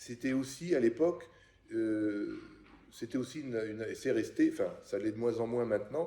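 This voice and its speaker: Medium in pitch with ordinary variation, a man speaks at a moderate pace. His tone is dark, mellow and somewhat breathy. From France, Paris. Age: 60s. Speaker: interviewee, son of a Czech émigré. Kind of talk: oral history interview. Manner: halting, many hesitations.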